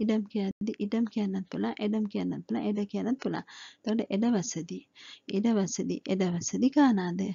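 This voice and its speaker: Speaking at a very slow pace, a woman uses a medium pitch that sounds somewhat breathy. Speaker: language teacher. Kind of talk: tutorial.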